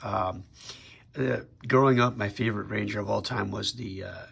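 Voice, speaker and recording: Vocal fry runs through this fairly even intonation at a moderate pace. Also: man. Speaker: toy collector YouTuber. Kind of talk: product review. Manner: casual with many fillers.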